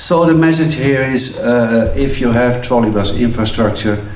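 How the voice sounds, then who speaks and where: Over noticeable background noise and with audible room echo, a man talks at a moderate pace with ordinary pitch variation. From Netherlands. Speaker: transport finance expert. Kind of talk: conference talk. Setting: conference hall with audience. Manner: halting, many fillers.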